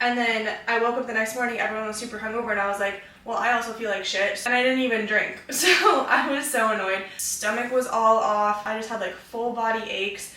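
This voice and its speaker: A woman talks at a fairly high pitch and a fairly quick pace with hardly any pauses and ordinary pitch variation, amid noticeable background noise and audible room echo. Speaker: fitness vlogger. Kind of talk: casual vlog talk. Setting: gym. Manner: loud.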